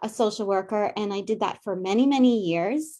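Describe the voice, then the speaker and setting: With a Long Island accent, a woman speaks at a moderate pace. Her tone is dark and mellow. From Long Island, New York. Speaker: psychic medium and soul coach, former therapist. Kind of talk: casual interview chat. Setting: morning show interview.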